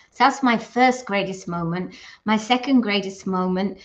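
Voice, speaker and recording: The speaker is a woman with a medium-pitched voice. She talks at a moderate pace. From England. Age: 60s. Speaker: direct sales consultant. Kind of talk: vlog monologue. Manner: casual, hesitant with fillers.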